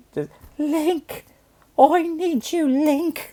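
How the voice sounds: The voice is a squeaky, high-pitched, put-on character voice.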